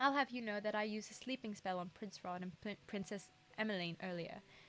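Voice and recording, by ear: The pitch moves in an ordinary way. The speaker is reading aloud in a natural voice.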